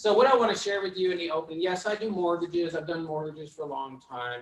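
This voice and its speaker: Speaking with a Vermont accent, a man talks at a fairly quick pace with a fairly high pitch. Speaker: mortgage lender. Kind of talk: panel pitch to audience. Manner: fast; animated.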